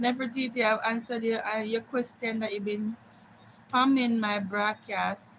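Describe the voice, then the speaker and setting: A woman is speaking. Her pace is fairly slow. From Jamaica, Montego Bay. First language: Jamaican Patois. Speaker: live streamer. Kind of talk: casual chat. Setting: live stream.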